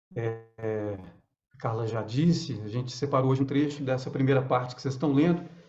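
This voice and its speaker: There is audible room echo around a man's voice. He talks at a fairly quick pace. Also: medium pitch for a man, ordinary pitch variation. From northern Minas Gerais, Brazil. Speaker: actor. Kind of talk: casual chat. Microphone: too quiet.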